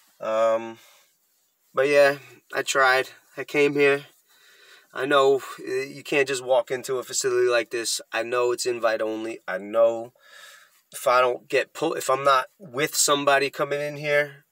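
A man's bright, sharp voice has fairly even intonation and long, frequent pauses, with a dry sound with no echo and a quiet background. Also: fairly slow pace. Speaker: vlogger. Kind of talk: casual vlog chat. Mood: rueful, self-deprecating, laughing. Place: car. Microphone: phone near.

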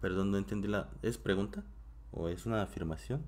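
A man with a very deep, low voice and vocal fry swings his pitch very widely. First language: Korean (speaking Spanish). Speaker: Korean language teacher. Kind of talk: live-streamed language class. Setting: home live stream.

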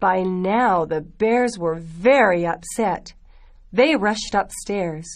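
Simple, plain reading aloud.

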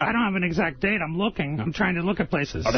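Against noticeable background noise, a man talks at a very fast pace with very even loudness and ordinary pitch variation.

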